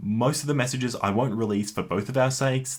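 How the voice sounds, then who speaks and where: Here is a man with an Australian accent. He speaks at a fairly quick pace. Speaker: YouTuber. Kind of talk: personal response video. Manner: halting.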